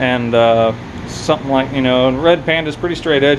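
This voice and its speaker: There is noticeable background noise as a man speaks quickly at a fairly high pitch. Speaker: crypto mining youtuber. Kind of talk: casual video update. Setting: home workshop. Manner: loud; casual, halting with fillers.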